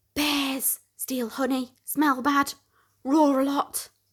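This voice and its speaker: A woman speaks in a put-on character voice, pitched high, very slowly and in a flat monotone. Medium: read story.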